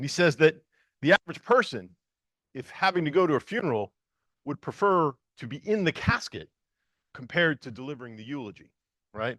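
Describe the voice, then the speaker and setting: Man with an American accent, fairly high-pitched and bright, sharp in tone, with very wide pitch swings, big swings in loudness, long, frequent pauses, and a dry, close sound with no echo against a quiet background. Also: fairly quick pace. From northern US. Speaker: EMS leader, public safety official. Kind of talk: conference talk. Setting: stage with audience. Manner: fast; halting, many fillers.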